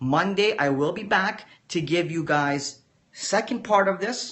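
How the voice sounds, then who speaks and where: Audible room echo surrounds a man whose lively intonation unfolds at a fairly slow pace. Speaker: forex trader teaching a course. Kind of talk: livestream lecture. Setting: live video stream. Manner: measured, teacher-like; casual, addresses viewers directly.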